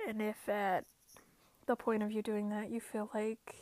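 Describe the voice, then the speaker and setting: Her fairly high voice stays monotone and flat as the woman speaks at a moderate pace. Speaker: podcast host. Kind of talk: casual self-help podcast monologue. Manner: chatty, self-correcting with fillers.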